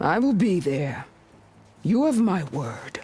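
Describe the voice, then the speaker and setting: Putting on a character voice, a woman speaks at medium pitch and a fairly slow pace, her pitch swinging very widely. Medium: video game. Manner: proud, harsh.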